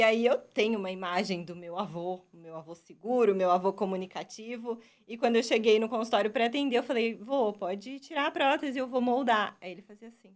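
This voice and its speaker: A woman with a normal speaking voice and a fairly high pitch talks at a fairly quick pace with hardly any pauses, big swings in loudness and ordinary pitch variation, on a very clean recording with a silent background. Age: 20s. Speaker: dentist and university professor. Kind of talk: interview answers.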